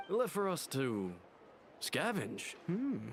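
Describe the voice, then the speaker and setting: A put-on character voice at a middle pitch, with clear background noise. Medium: video game. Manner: grumbling.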